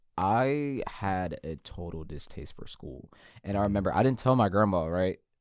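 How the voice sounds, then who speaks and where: With an American accent, a man speaks in an unremarkable speaking voice at a fairly low pitch and moderate pace, with lively intonation and big swings in loudness. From Florida. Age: 20s. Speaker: podcast guest, poet. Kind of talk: casual chat.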